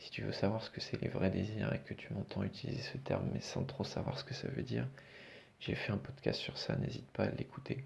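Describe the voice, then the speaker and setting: A soft-spoken man talks at a fairly quick pace. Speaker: podcast host and coach. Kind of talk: solo podcast monologue. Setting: isolated room at night. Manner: hesitant, many fillers.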